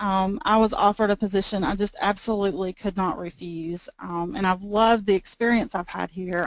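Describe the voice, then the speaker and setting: Speaking with a Southern US accent, a woman uses medium pitch and fairly even intonation. She leaves hardly any pauses, and the background is quiet. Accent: Southern US drawl. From US South, Georgia. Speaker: IT manager and presenter. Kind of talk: webinar presentation. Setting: webinar on computer, no camera.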